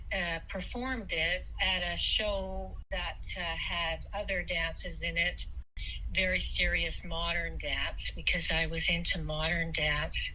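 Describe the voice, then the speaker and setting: Amid noticeable background noise, a woman speaks at a very slow pace and very even loudness. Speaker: dancer, actor and clown. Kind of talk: interview answer. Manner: hesitant, with fillers.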